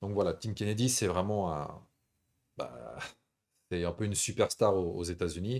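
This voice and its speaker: The recording is very clean, with a silent background. A man speaks at a moderate pace in a very deep, low pitch with ordinary pitch variation. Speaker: MMA show host. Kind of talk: live stream chat. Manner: relaxed, smooth.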